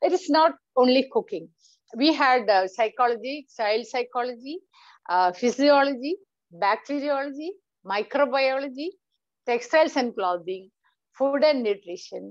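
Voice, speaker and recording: A woman speaks at a high pitch and a moderate pace, with lively intonation. Long, frequent pauses break up her speech over a quiet background. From India, Kerala. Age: 60s. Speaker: entrepreneur. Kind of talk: talk on her life story. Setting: online meeting. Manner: hesitant, many fillers.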